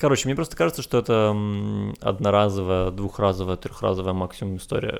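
A man's unremarkable speaking voice, fairly low in pitch, with fairly even intonation. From Ukraine. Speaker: podcast co-host. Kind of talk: casual chat.

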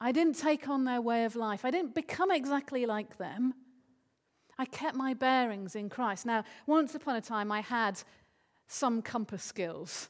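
Over a quiet background, a woman with a high pitch speaks at a fairly slow pace with lively intonation. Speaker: preacher. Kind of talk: sermon. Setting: church.

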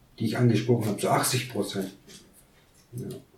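A man speaks at a medium pitch and a moderate pace. There is audible echo from the room. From Kurdistan. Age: 30s. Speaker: migrant council member, business lawyer. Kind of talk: interview.

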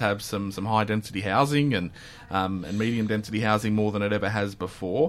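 A man's very fast, fairly low-pitched speech with an Australian accent, in a very clean recording with a silent background. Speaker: podcast host. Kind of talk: interview for a local news podcast. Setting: radio studio.

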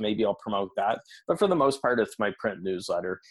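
A man with a Canadian accent and an unremarkable speaking voice, fairly quick pace, ordinary pitch variation, dry, close sound with no echo. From Canada. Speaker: business coach and podcaster. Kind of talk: interview. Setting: remote call.

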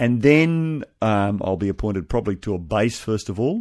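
In a very clean recording with a silent background, a man with an Australian accent speaks in a fairly low pitch with lively intonation. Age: 50s. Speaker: pastor becoming navy chaplain. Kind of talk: radio interview. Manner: halting.

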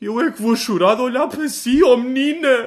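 A man's put-on character voice, extremely high in pitch, at a moderate pace against a quiet background. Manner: mocking, imitating.

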